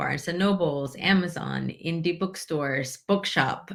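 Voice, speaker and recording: Moderately paced speech from a woman, fairly low in pitch, with ordinary pitch variation. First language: Spanish. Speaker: author and immigrant rights activist. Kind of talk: interview.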